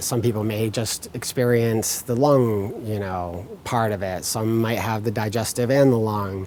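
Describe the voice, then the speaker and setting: With noticeable background noise and audible room echo, a man at a medium pitch speaks at a fairly slow pace and fairly even intonation. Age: 40s. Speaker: patient advocate. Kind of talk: speech at fundraiser. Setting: event hall with audience. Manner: casual, hesitant with fillers.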